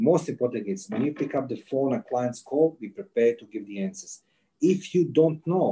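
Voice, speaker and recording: A man with a Croatian accent speaks at a moderate pace. His tone is dark and mellow. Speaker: intelligence and interrogation expert. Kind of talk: casual interview.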